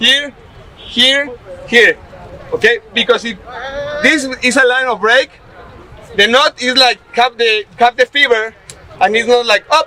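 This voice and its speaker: A man with a Spanish accent speaks in a raised, projected voice at an extremely high pitch. His pace is moderate and his pitch variation ordinary, with crowd noise in the background. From Mexico. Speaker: bamboo construction instructor. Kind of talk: hands-on workshop demonstration. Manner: halting.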